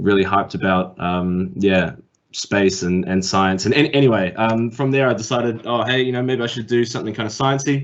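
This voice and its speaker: Speaking at a fairly quick pace, a man uses a medium pitch and ordinary pitch variation. He talks with a New Zealand accent. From New Zealand, Auckland. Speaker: tech industry speaker. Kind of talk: career talk. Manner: hesitant, many fillers.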